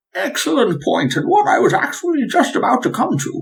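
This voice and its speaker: A man's put-on character voice at an extremely high pitch, fairly quick in pace. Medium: actual play. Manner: cultured, measured and polite.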